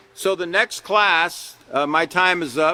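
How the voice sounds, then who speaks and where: This man speaks at a high pitch in a dry, close recording with no echo. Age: 60s. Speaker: character education teacher. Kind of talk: lecture. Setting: classroom with live audience, streamed online. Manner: animated.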